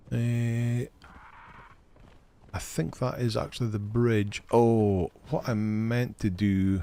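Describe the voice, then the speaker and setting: Relaxed and with a dark, mellow tone, a man speaks at a very slow pace with fairly even intonation and long, frequent pauses. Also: medium pitch for a man. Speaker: gaming live streamer. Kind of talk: live gameplay stream chat. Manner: casual, relaxed.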